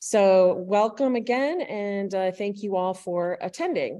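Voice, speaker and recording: This woman's voice has a dark, mellow tone with ordinary pitch variation. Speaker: public meeting facilitator. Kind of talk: meeting presentation. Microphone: video call.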